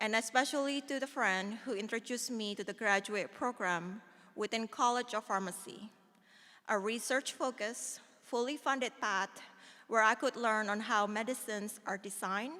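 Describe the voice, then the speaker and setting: A woman with an Indonesian accent at a fairly high pitch and a moderate pace, with ordinary pitch variation, in a very clean recording with a silent background. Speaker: alumna speaker, pharmaceutical scientist. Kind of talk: ceremonial speech. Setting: auditorium ceremony with audience.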